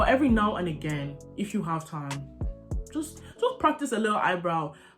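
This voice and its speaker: Music plays in the background as a woman speaks. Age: young. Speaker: makeup content creator. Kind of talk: casual talk to camera. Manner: chatty, informal.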